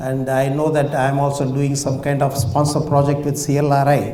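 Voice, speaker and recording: At a fairly slow pace, the speech comes with audible room echo and noticeable background noise. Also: man. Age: 70s. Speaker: retired scientist and industrialist, speaker. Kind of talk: public talk. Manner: halting, many fillers.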